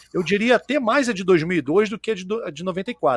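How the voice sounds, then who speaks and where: A man's lively, varied intonation in a dry, close recording with no echo, very clean against a silent background. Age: 40s. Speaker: podcast host. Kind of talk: casual chat. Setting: live stream.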